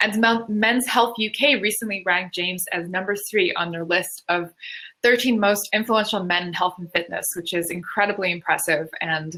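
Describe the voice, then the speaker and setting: A woman's bright, sharp voice in a Canadian accent, medium in pitch, at a moderate pace with ordinary pitch variation. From Canada. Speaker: panel moderator. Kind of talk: panel introduction.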